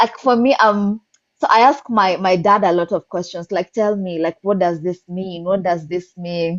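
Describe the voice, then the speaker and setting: A woman with a Kenyan accent, medium in pitch, at a moderate pace with ordinary pitch variation. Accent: Kikuyu-accented English. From Kenya, central (Kikuyu). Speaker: poet. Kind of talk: casual interview chat. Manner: animated.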